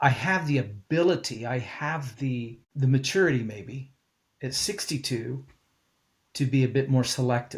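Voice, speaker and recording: Speaking at a fairly slow pace, a man uses a medium pitch with ordinary variation and a somewhat breathy sound. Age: 60s. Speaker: pastor. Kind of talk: interview.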